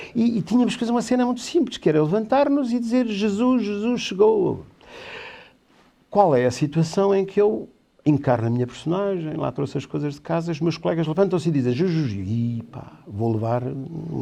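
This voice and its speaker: A man with a high voice and a dark, mellow tone speaks at a fairly quick pace, his pitch swinging very widely over a quiet background. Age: 60s. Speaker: theatre director and teacher. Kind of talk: interview on a talk show. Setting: studio. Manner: halting.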